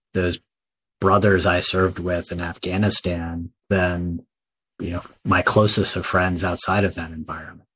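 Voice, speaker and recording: Speaking at a fairly slow pace, a man with an American accent has a very deep, low pitch and a bright, sharp tone, his intonation monotone and flat. The recording is very clean with a silent background. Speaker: army veteran and author. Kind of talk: interview.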